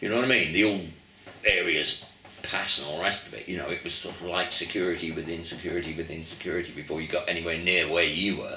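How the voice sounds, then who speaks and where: A man's very deep, low voice amid audible room echo and noticeable background noise. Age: 70s. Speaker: veteran rock musician. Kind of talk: casual interview reminiscence.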